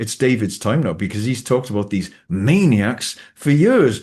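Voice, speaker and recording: Against a quiet background, a man speaks at a moderate pace with lively intonation and a somewhat breathy quality. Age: 60s. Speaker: talk show host. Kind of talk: casual interview chat. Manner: animated, repetitive stammering.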